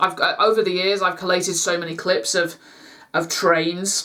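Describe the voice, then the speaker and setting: A woman with a Lancashire accent speaks at a moderate pace and medium pitch. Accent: northern English (Lancashire). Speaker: YouTube vlogger. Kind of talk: casual vlog chat to camera. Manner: halting, stumbling over words; informal, many fillers.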